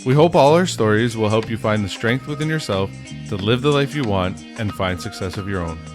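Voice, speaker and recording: A man's fairly low voice with very wide pitch swings, at a fairly quick pace, with music in the background. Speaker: podcast host. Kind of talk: podcast intro.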